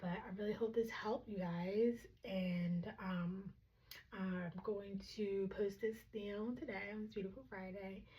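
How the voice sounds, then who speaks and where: A soft-spoken woman with a medium pitch and a dark, mellow tone sounds somewhat breathy, speaking at a fairly slow pace with fairly even intonation. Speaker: tarot reader. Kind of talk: tarot reading. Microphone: microphone clip broken, audio may be poor.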